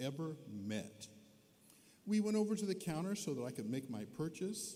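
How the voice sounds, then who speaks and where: Audible room echo accompanies a man talking at a moderate pace. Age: 70s. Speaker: honorary degree recipient, scientist. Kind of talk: commencement speech. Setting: arena stage with audience.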